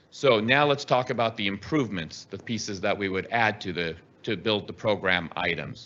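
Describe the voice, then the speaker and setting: The man's voice is fairly low in pitch, with a bright, sharp tone and ordinary pitch variation. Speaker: construction project presenter. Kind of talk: presentation to school board. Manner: fast.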